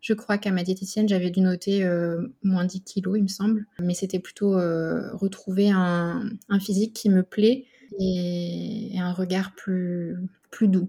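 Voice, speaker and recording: Her tone is dark and mellow, somewhat breathy, at a medium pitch. The woman speaks very slowly with flat, monotone intonation. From Burgundy, France. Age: 30s. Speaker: speech therapist, dietetic program patient. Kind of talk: interview testimony. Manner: hesitant, many fillers.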